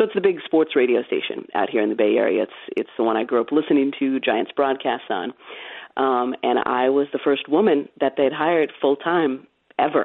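A woman with an American accent speaks fairly quickly in a very deep, low voice. Her intonation is lively. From California. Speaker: sports broadcaster. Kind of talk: casual interview chat.

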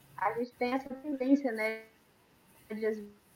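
In an ordinary speaking voice, a woman talks at a fairly slow pace with a fairly high pitch. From Brazil, Campo Grande. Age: 30s. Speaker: nutrition student, guest on faith talk show. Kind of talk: casual chat.

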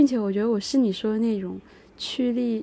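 Fairly high in pitch, the woman's voice carries a dark, mellow tone. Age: 30s. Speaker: podcast co-host. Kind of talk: casual chat.

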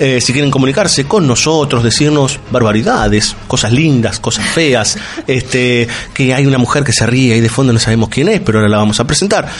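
A man with a Rioplatense accent, medium pitch, ordinary pitch variation and very even loudness at a fairly quick pace, with noticeable background noise and audible room echo. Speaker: radio host. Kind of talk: casual chat.

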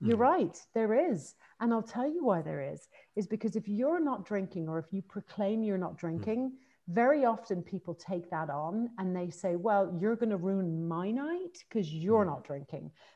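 A woman talks at a moderate pace in a normal speaking voice. Her medium pitch carries lively intonation. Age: 40s. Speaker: author. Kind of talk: interview.

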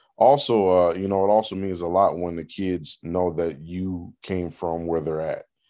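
A man's very deep, low voice with a dark, mellow tone and an American accent, at a moderate pace with hardly any pauses, over a quiet background. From US Upper Midwest, north Minneapolis. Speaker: high school football coach. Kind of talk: interview. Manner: halting, many fillers and repeats.

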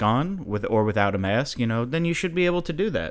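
Man with a plain, everyday voice, fairly quick pace and lively intonation. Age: 20s. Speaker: podcast host. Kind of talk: solo monologue podcast. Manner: casual, conversational.

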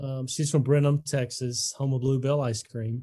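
Over a very clean recording with a silent background, a man with an Alabama accent speaks at a fairly slow pace in a dark, mellow, somewhat breathy tone. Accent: Southern US (Alabama). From Alabama, US South. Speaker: sports ministry leader and podcast host. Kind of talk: casual interview.

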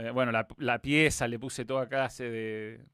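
A man speaks at medium pitch with fairly even intonation, recorded very cleanly against a silent background. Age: 40s. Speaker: football commentator. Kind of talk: casual chat. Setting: home studio.

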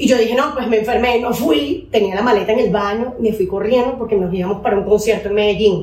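Fairly high in pitch, a woman talks at a very fast pace with hardly any pauses and ordinary pitch variation, amid audible room echo and noticeable background noise. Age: 30s. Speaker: dentist and singer. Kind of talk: casual chat.

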